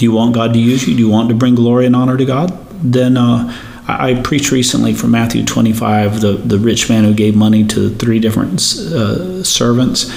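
A man at a moderate pace with very even loudness, amid noticeable background noise and audible room echo. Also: medium pitch for a man, ordinary pitch variation. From India. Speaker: pastor. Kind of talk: interview.

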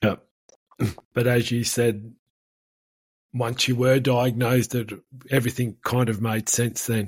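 A somewhat breathy voice with an Australian accent, fairly slow and monotone, flat in intonation, with long, frequent pauses. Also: man, medium pitch for a man. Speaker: podcast host, farmer and speaker. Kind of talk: interview. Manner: halting, many fillers.

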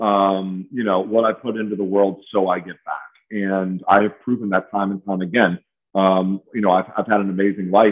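Monotone and flat, a man with an American accent speaks at a moderate pace. His pitch is fairly low. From Chicago. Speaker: recovering addict and Marine veteran. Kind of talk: casual interview testimony. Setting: home garage remote call.

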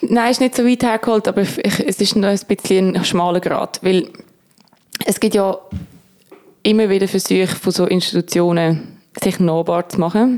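A woman's voice at a moderate pace, with ordinary pitch variation, very even loudness and long, frequent pauses. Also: medium pitch for a woman. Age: 20s. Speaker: music critic. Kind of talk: casual chat.

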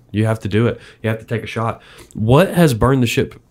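Over a silent background in a very clean recording, a man with a plain, everyday voice talks at a fairly quick pace with fairly even intonation. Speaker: podcast host. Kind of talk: interview. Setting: in person.

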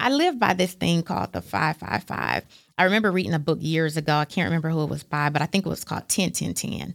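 The voice has vocal fry. The sound is dry and close, with no echo. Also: woman. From US Midwest (Fort Wayne, Indiana), born in Chattanooga. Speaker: nonprofit executive and speaker. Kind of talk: interview conversation.

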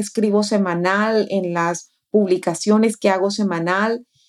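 Medium pitch from a woman at a fairly slow pace, with fairly even intonation. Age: 40s. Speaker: life coach and podcast co-host. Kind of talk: casual chat.

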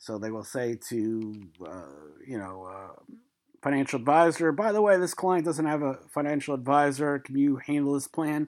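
Speaking with a New York accent, a man uses a fairly high pitch and lively intonation at a moderate pace. The recording is very clean, with a silent background. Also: big swings in loudness. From New York City (Brooklyn). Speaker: retirement plan administrator and podcast host. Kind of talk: solo podcast monologue. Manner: casual, rambling with many fillers.

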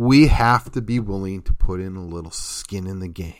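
In a very clean recording with a silent background, a man speaks at a fairly low pitch with ordinary pitch variation. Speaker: local politics podcaster. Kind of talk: solo political commentary. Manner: fast.

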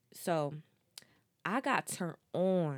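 An animated woman with an American accent, her very deep, low voice moving with ordinary pitch variation, on a very clean recording against a silent background. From New Jersey (South Jersey). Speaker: podcast host. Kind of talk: casual monologue.

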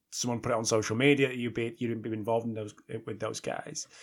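A man speaks with a British accent. The recording is very clean and the background silent. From Britain. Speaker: podcast host. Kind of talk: interview.

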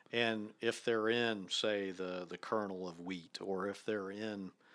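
A man with a US Midwestern accent, his pitch fairly low and ordinary in its variation, on a very clean recording with a silent background. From Ohio, near Dayton. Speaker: professor. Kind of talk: casual chat. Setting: in person, on location.

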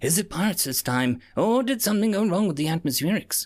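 Mumbling at a very fast pace, a man uses a high-pitched put-on character voice with very wide pitch swings. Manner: worried mumbling to himself.

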